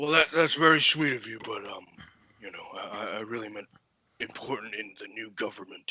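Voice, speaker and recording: A man's raspy, put-on character voice at medium pitch, fairly quick in pace, with big swings in loudness. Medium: actual play. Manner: hesitant, stammering, over-polite.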